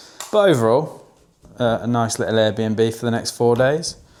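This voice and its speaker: A man of medium pitch speaks with an English accent. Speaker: online fitness coach. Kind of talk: vlog, casual talk to camera. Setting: indoors, rented apartment.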